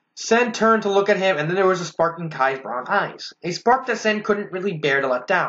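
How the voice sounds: Reading in a natural voice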